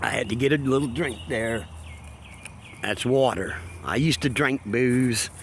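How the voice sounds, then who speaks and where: A man at a medium pitch and moderate pace, with lively intonation and long, frequent pauses. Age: 50s. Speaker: abuse survivor vlogger. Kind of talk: personal testimony to camera. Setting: outdoors at a dog park. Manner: casual, halting with fillers.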